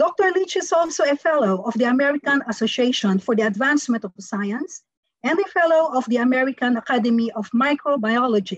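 Her voice is high-pitched, and a woman's intonation stays lively throughout. The sound is dry with no echo, over a quiet background. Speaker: session host. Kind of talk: formal speaker introduction. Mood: formal, polite. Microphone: video call.

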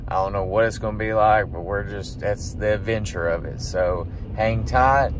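Recorded dry with no echo, a man's voice comes through noticeable background noise. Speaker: vlogger. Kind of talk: casual vlog chat. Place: car. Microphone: phone near.

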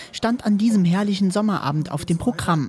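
A woman with a plain, everyday voice talks at a fairly quick pace with ordinary pitch variation. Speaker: local news reporter. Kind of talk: news report voice-over.

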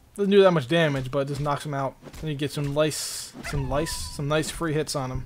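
A man speaks with a fairly high pitch and fairly even intonation over noticeable background noise. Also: moderate pace. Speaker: gaming YouTuber. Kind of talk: casual gameplay commentary. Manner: casual, rambling, thinking aloud.

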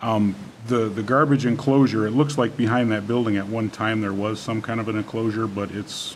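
Over light background noise, a man talks at a moderate pace in a fairly low pitch with fairly even intonation. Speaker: village trustee. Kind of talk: public meeting. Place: meeting room. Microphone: podium.

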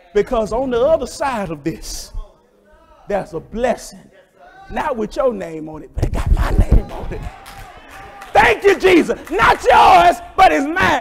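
Shouting over crowd noise, a man speaks at a fairly slow pace in an animated tone, with very wide pitch swings and big swings in loudness. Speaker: preacher. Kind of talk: sermon. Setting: church. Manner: animated, call-and-response, fervent preaching; loud, rising whooping delivery with crowd interplay. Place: church.

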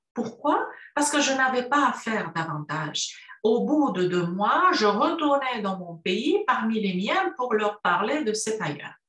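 Against a quiet background with audible room echo, a woman speaks at a very slow pace with very wide pitch swings. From Romania, Cluj (Transylvania). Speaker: university professor. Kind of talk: prepared talk for a university course. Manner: formal. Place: home room. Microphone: webcam.

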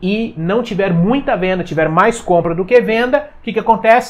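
A man speaks with a Brazilian accent in an energetic tone. His pitch swings very widely. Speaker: finance YouTuber. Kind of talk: explainer video. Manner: casual, energetic. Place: home room. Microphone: lapel.

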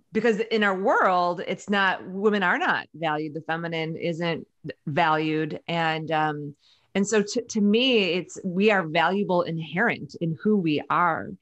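Against a quiet background, a woman speaks at a fairly slow pace, her fairly low pitch showing ordinary variation. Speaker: podcast guest. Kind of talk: interview answer. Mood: warm, earnest, some laughter. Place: home room. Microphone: studio mic.

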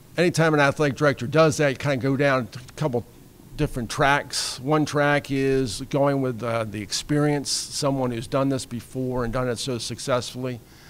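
The man's pace is moderate and his intonation fairly even. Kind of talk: press conference speech. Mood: warm, pleased. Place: hall. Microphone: podium.

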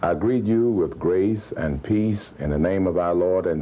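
Very slow in pace, a man speaks with a very deep, low pitch. His tone is dark and mellow, with ordinary pitch variation. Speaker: pastor addressing TV viewers. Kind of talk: formal address to television audience. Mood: grateful, warm, measured. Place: office.

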